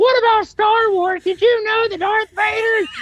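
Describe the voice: A squeaky, put-on character voice pitched extremely high, delivered at a moderate pace.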